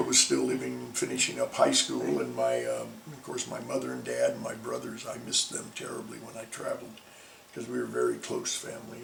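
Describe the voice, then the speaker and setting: Over noticeable background noise, a man with an American accent talks at a fairly quick pace, his loudness swinging widely. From Northern California. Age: 70s. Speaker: actor and theater director. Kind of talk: interview answer.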